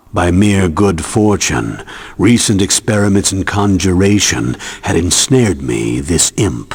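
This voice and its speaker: Putting on a character voice, a man speaks at a very deep, low pitch and a fairly slow pace against light background noise. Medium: video game. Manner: grave, measured.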